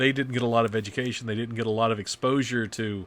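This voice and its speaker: On a very clean recording with a silent background, a man speaks at a moderate pace in a medium pitch, with a bright, sharp tone and monotone, flat intonation. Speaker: voice-over announcer and podcast host. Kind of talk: casual chat.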